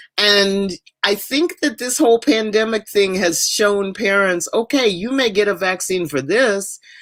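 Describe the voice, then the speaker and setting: A woman with a normal speaking voice, medium pitch, lively intonation and a fairly slow pace. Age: 60s. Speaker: podcast co-host. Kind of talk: casual chat. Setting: podcast recording.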